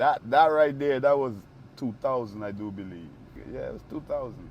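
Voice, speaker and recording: A man with an American accent speaks at a moderate pace in an ordinary speaking voice, medium in pitch, with ordinary pitch variation and big swings in loudness. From Guyana. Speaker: former gang member. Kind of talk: casual chat. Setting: in a car.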